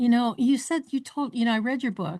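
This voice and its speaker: A woman with an American accent speaks at a fairly quick pace, sounding somewhat breathy. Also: quiet background. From north central Ohio. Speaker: podcast host. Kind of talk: interview.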